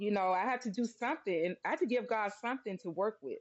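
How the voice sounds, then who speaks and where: With lively intonation and an animated tone, a woman speaks at a fairly high pitch. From US South. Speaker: mother and wellness advocate. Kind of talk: interview.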